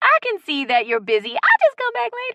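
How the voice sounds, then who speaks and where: At a fairly quick pace, a woman puts on a squeaky character voice, extremely high in pitch and swinging very widely. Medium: read story. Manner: homey.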